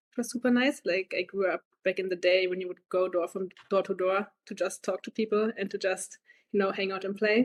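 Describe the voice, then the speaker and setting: A woman with a German accent talks at a fairly quick pace and medium pitch. The sound is dry and close with no echo. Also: fairly even intonation. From Germany. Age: 20s. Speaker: medical graduate. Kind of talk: podcast interview.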